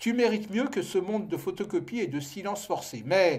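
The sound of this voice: Unforced reading voice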